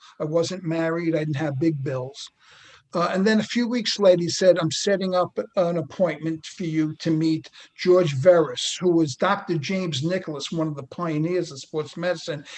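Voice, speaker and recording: Fairly even intonation marks this man's high-pitched voice. He has a New York accent. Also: moderate pace. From New York City, Queens. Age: 60s. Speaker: retired NBA athletic trainer. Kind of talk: casual interview.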